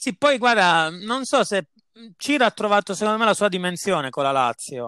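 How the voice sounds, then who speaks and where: At a moderate pace, a man projects a raised, high-pitched voice that is bright and sharp, with very wide pitch swings and a dry, close sound without echo in a very clean recording with a silent background. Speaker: football podcast host. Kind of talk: casual chat.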